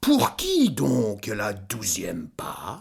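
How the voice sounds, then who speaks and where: Growling in a put-on character voice, a man speaks with a fairly low pitch. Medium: read story. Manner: authoritative.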